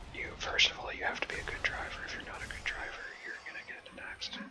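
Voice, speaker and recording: A man whispers at a fairly quick pace in a relaxed tone. Noticeable background noise sits behind him. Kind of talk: whispered ASMR gaming ramble to camera. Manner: whispered, relaxed, rambling.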